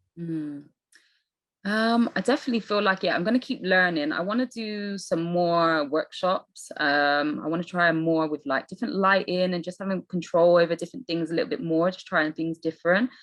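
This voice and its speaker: Talking with a Bristol accent, a woman uses a fairly low pitch, ordinary pitch variation and a moderate pace. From England, Bristol. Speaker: landscape photographer. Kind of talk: interview.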